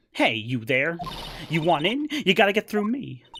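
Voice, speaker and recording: A gruff put-on character voice at a middle pitch, with very wide pitch swings at a moderate pace. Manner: grumpy, gruff, confrontational.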